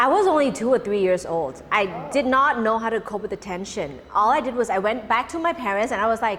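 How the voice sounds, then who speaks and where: Talking very fast at a fairly high pitch, a woman with a Cantonese accent is heard over noticeable background noise. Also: lively intonation. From Thailand. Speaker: emcee and social volunteer. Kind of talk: interview. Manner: halting.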